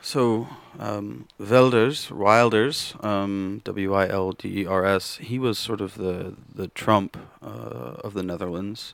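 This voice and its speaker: A man with an American accent, fairly low in pitch, with ordinary pitch variation and a very slow pace. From Kansas, US. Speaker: computer programmer. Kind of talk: casual chat. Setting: studio.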